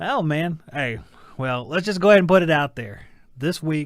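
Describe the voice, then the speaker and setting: In a Southern US accent, a man talks at a fairly quick pace with lively intonation over a very clean recording and a silent background. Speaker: talk show co-host. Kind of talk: casual chat.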